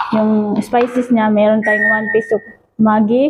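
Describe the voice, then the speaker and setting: The delivery comes at a fairly slow pace. Intonation stays monotone and flat. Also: woman. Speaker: cooking vlogger. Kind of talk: cooking tutorial vlog. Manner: halting, filler-heavy.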